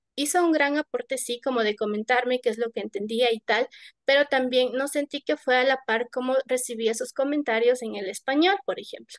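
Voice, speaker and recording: A woman's high voice at a moderate pace, with ordinary pitch variation, in a dry, close sound with no echo against a quiet background. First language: Kichwa (speaking Spanish). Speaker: poet. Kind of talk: panel discussion. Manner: halting.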